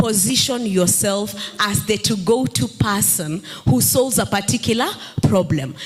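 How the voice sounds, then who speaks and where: Over background music, a woman with a medium pitch talks at a fairly slow pace in an animated tone, her pitch swinging very widely. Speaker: entrepreneur and content creator. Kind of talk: panel discussion. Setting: stage with audience.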